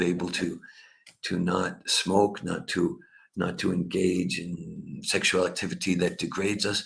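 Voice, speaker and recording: Speaking at a moderate pace with an American accent, a man is heard with audible room echo. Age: 60s. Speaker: spiritual teacher and researcher. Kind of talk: online conference talk. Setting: online e-conference. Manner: halting, many repetitions.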